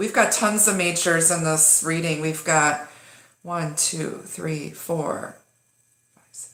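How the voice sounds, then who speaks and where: A woman speaks at a moderate pace with a fairly low pitch. Room echo can be heard around her. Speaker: tarot reader. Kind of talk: live-streamed tarot reading. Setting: home live stream. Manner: casual, halting with many fillers.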